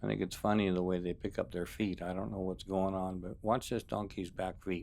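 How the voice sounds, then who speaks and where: A man with a very deep, low voice talks at a fairly quick pace in a relaxed tone, with ordinary pitch variation and some vocal fry. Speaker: wildlife videographer maintaining desert springs. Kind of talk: casual voiceover narration. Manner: relaxed, conversational with fillers.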